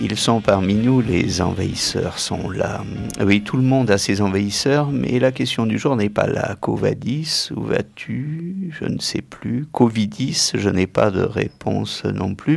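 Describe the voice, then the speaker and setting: Over noticeable background noise, a man speaks very slowly at a medium pitch. His intonation is lively. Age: middle-aged. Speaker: radio music show host. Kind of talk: casual radio chat presenting music.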